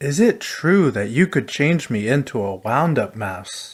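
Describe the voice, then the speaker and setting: Putting on a character voice, a man talks at a fairly slow pace and a fairly high pitch. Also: very clean recording, silent background. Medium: read story. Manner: timid, earnest.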